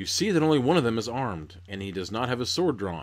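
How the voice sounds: Intonation here is lively. The voice is a natural reading voice.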